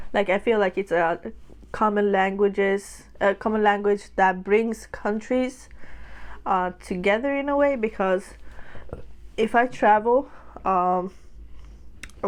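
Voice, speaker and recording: Pauses come long and often as a woman speaks. Her pitch is medium, with ordinary variation. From Sweden. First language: Swedish. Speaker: mukbang vlogger. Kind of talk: casual vlog talk while eating. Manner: casual, with filler words.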